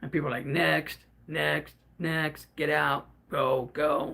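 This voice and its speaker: A man speaks. His pace is very slow. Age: 50s. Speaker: livestreamer. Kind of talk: casual chat. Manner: stuttering at times; unscripted, off the cuff.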